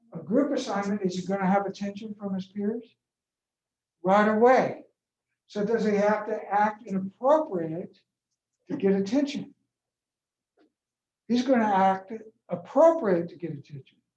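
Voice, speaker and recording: The speaker keeps a moderate pace with long, frequent pauses. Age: 60s. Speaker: professor. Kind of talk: lecture.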